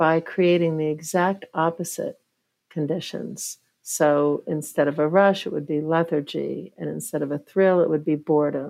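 Using an ordinary speaking voice, a woman talks at a fairly slow pace, her fairly low pitch held in fairly even intonation. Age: 50s. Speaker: professor and neuroscientist. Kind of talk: interview.

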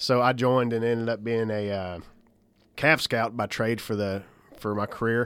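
A man speaks at a medium pitch with fairly even intonation. He has a plain, everyday voice. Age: 40s. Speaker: army master sergeant and military instructor. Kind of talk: casual chat.

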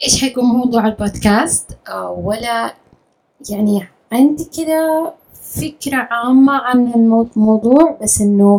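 She speaks fairly slowly in a high pitch, and her pitch varies in an ordinary way. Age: 40s. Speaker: podcast host, content creator. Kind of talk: casual solo monologue. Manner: spontaneous, unscripted.

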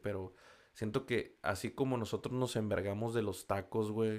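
A man with a Mexican accent speaks in an animated tone. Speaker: podcast host. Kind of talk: casual monologue. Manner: casual, slangy and animated.

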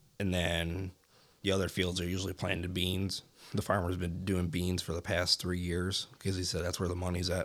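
Over a silent background in a very clean recording, a man speaks at a moderate pace with a very deep, low pitch and monotone, flat intonation. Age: 20s. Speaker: deer hunter. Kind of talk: casual chat.

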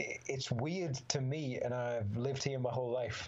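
The speaker talks at a fairly slow pace in a Teesside accent. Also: man. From northern England, Middlesbrough. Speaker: MMA fighter. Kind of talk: casual chat.

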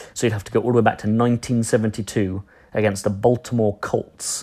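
A man talks at a fairly quick pace in a monotone, flat intonation. The recording is very clean, with a silent background. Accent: English. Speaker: NFL podcast host. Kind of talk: solo sports podcast recap.

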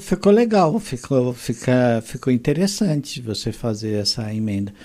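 His pitch swings very widely. This man has a dark, mellow tone. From Mogi das Cruzes, São Paulo, Brazil. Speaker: podcast host. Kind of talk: casual chat.

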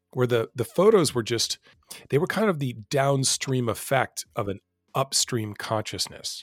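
On a very clean recording with a silent background and a dry, close sound with no echo, a man with a normal speaking voice talks at a moderate pace and medium pitch with lively intonation. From United States. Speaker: photojournalist and travel podcaster. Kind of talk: podcast interview.

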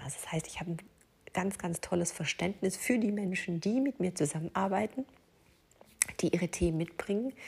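The voice belongs to a woman. It carries a somewhat breathy quality. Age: 40s. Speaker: life coach and podcast host. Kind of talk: solo podcast monologue. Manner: hesitant, with frequent fillers.

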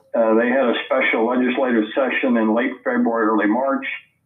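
A man with an American accent, fairly quick and monotone in flat intonation, amid audible room echo. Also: very even loudness. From Missouri. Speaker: author and Civil War historian. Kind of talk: interview. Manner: halting, many fillers.

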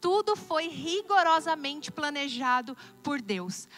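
This woman's pitch is extremely high and her intonation lively. She talks at a very slow pace. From Brazil, interior of Paraná (Assis Chateaubriand). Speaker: pastor. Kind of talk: sermon.

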